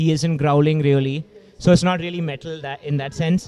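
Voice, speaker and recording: A man with an Indian accent, a fairly high pitch and fairly even intonation, over noticeable background noise. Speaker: hardcore punk band vocalist. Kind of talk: casual podcast chat.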